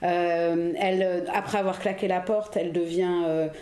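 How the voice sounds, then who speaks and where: Room echo can be heard as a woman speaks at a fairly slow pace. Her pitch is fairly low. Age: 40s. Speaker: historian, editor of a reissued book. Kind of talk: casual chat. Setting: apartment in Paris.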